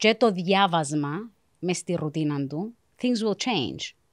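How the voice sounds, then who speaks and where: A woman at a very slow pace with ordinary pitch variation, dry sound with no echo, and a quiet background. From South Africa, Cypriot parents from Varosha; moved to Cyprus 1989; South Africa. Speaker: career guidance counselor; guest. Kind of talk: casual interview chat. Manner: mixes Greek and English. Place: studio. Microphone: studio mic.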